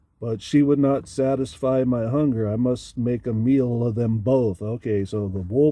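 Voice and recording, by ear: Someone is reading aloud in a natural voice. The delivery is just that.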